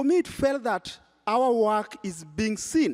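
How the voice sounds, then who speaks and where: With a strong Kenyan accent, a man speaks at a high pitch. His tone is animated. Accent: Kenyan, thick. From Kenya, Nairobi (Kibera). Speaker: nonprofit founder and prize juror. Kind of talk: panel discussion.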